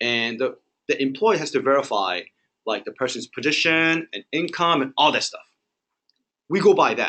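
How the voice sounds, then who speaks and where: A man speaks loudly in a bright, sharp tone, his pitch swinging very widely. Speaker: mortgage lender. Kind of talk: training presentation.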